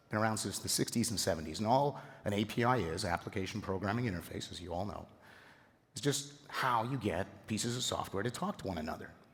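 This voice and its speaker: Somewhat breathy and fairly low-pitched, a man talks at a very fast pace with ordinary pitch variation. The room echo is audible. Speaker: software architect. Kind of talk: conference talk. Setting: stage with audience. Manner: animated.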